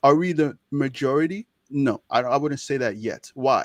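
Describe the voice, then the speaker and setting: This man has a fairly high voice and keeps a moderate pace. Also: dry, close sound with no echo. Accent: Nigerian. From Nigeria (Ijaw). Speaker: medical student, social media creator. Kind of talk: interview conversation. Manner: animated.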